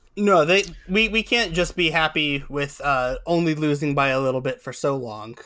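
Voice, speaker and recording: A man with a bright, sharp tone and fairly high pitch speaks at a moderate pace with lively intonation, in a very clean recording with a silent background. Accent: American. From Ohio, Cincinnati area. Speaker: soccer podcast co-host. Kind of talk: casual chat.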